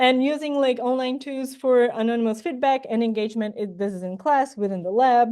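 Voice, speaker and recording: Against a quiet background, a woman with a non-native accent and a fairly high pitch speaks at a fairly quick pace with ordinary pitch variation. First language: not English. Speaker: plant ecologist and incoming professor. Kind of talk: academic job talk. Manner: hesitant with many fillers.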